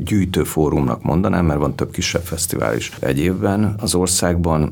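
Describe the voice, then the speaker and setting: Over noticeable background noise, a man talks at a fairly slow pace in a very deep, low voice with ordinary pitch variation. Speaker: film festival director, producer. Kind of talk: interview conversation.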